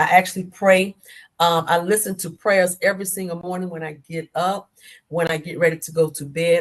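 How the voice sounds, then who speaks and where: A woman's an ordinary speaking voice, fairly low in pitch, with fairly even intonation at a moderate pace. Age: 60s. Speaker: author. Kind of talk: interview.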